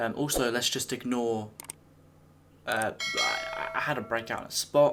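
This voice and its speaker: A man with a British accent, medium in pitch, with fairly even intonation and noticeable background noise. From England. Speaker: YouTuber. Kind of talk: casual talk to camera, reaction video.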